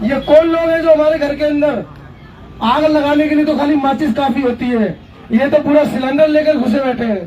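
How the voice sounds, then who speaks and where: Over crowd noise, a loud man with an extremely high pitch speaks at a moderate pace with ordinary pitch variation. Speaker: activist and media worker. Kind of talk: protest rally speech.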